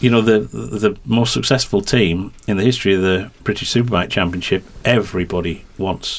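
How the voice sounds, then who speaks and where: Keeping a fairly even intonation, a man with a fairly low voice speaks at a moderate pace. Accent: slight Yorkshire. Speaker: motorsport commentator and team press officer. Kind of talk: podcast interview. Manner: halting, many fillers and repetitions.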